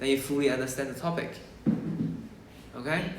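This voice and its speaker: A man with ordinary pitch variation, amid audible room echo. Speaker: maths tutor. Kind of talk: lesson. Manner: slow.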